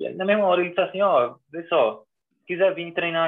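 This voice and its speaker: Here a man is talking. His pace is fairly quick. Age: 30s. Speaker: American football coach. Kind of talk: casual interview chat.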